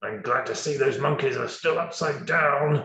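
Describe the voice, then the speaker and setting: A man puts on a character voice at a fairly high pitch, talking at a moderate pace with slight echo. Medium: read story. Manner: snarling, bad-tempered.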